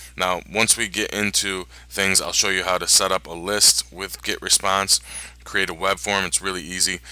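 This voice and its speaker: A man mumbles at a moderate pace with a very deep, low pitch and vocal fry. His tone is bright and sharp, on a very clean recording with a silent background. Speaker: online marketing tutorial maker. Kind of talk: screen-recorded tutorial. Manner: mumbling.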